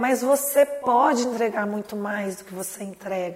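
A woman's fairly high voice, fairly slow and fairly even in intonation, against noticeable background noise. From Minas Gerais, Brazil (Lavras). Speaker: startup founder and CEO. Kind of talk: interview.

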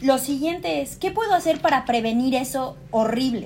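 Her pitch is high, and a woman moves through very wide pitch swings. She speaks at a fairly slow pace. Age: 20s. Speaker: university student and yoga teacher. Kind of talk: casual chat.

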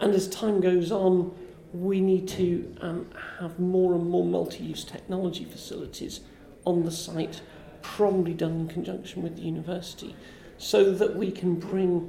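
Audible room echo surrounds a woman's voice. She speaks at a moderate pace in a monotone, flat intonation. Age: 50s. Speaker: science park director. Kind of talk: interview. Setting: festival event.

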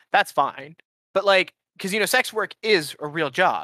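Raised and projected, a man's bright, sharp voice sits at a high pitch with ordinary pitch variation, recorded dry and close with no echo. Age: 20s. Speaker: podcast co-host. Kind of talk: casual chat.

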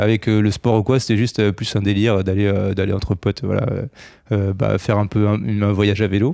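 The speech moves at a moderate pace with very even loudness. The background is quiet. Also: man. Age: 30s. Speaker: amateur triathlete. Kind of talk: interview. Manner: hesitant, many fillers.

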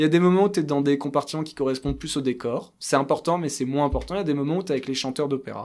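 The recording is very clean with a silent background. A man with a fairly high voice talks at a very fast pace, keeping his intonation fairly even. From France, Paris. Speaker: kabbalist thinker and writer. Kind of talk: interview, explaining ideas.

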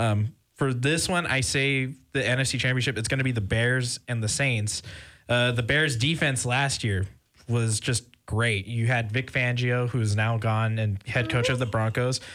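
This man speaks fairly slowly with an American accent, at a medium pitch and with very even loudness. His intonation is fairly even, and he has a plain, everyday voice. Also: very clean recording, silent background. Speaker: college radio sports host. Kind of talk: casual sports talk radio.

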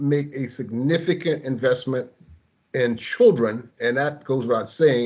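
Using an ordinary speaking voice, a man with an American accent talks at a moderate pace and medium pitch with ordinary pitch variation. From US South. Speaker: early childhood program director. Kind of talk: interview.

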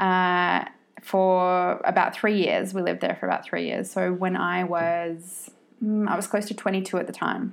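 Against a quiet background, a woman speaks with an Australian accent. Her pace is moderate. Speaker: podcast host and money coach. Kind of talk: casual monologue. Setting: solo podcast recording.

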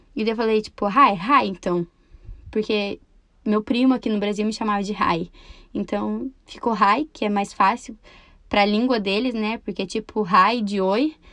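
The voice has a bright, sharp tone, ordinary pitch variation and a moderate pace, with a quiet background. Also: woman, fairly high pitch for a woman. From Brazil, Campo Mourão, Paraná. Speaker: podcaster. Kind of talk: casual monologue.

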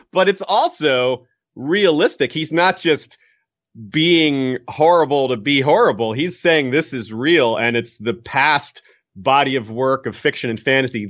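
A man at a fairly slow pace, with lively intonation. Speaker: podcaster. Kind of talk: casual chat.

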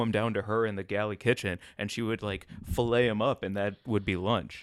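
With an American accent and a normal speaking voice, a man talks at a fairly quick pace, using a fairly low pitch and ordinary pitch variation. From St. Louis, Missouri, US. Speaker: comedian and podcast host. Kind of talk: casual chat.

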